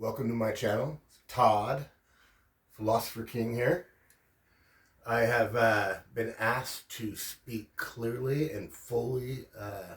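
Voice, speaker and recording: With long, frequent pauses, a man speaks at a very slow pace in a somewhat breathy voice with fairly even intonation. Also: medium pitch for a man. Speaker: religion commentary youtuber. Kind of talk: casual lecture. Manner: slow, deliberate enunciation; frequent fillers (um, uh).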